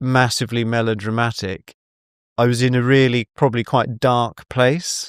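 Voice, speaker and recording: A man's voice comes through at very even loudness, dry and close with no echo. The recording is very clean, with a silent background. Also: medium pitch for a man. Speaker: tour guide. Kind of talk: casual chat. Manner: fast when excited; halting, many restarts.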